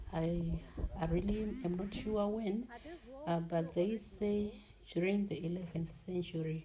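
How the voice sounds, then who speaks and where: Over light background noise, a woman speaks at a very slow pace with fairly low pitch and fairly even intonation. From Zimbabwe, Masvingo. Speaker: travel vlogger. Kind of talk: vlog tour narration. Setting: outdoors at heritage site. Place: open country. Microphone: phone near.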